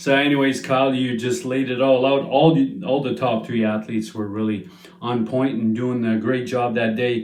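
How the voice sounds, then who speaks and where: The room echo is audible as a man talks at a moderate pace. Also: medium pitch for a man, ordinary pitch variation. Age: 50s. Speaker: strongman competitor and channel host. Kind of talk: casual monologue recap. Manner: hesitant, many fillers.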